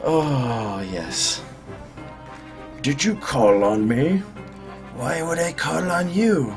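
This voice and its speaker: With clear music in the background, a man in a put-on character voice speaks at a very slow pace and medium pitch, using very wide pitch swings. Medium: role play.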